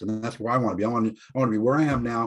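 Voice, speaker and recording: Against a quiet background, a man talks at a very fast pace with a medium pitch. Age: 60s. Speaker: group member in addiction recovery. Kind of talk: group video call discussion.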